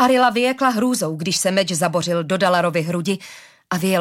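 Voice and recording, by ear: A natural voice reading aloud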